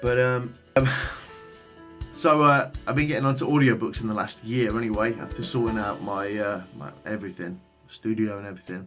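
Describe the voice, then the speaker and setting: Music runs in the background while a man speaks with ordinary pitch variation. His loudness swings widely. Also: medium pitch for a man, moderate pace. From England. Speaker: voice actor. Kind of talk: casual vlog talk to camera.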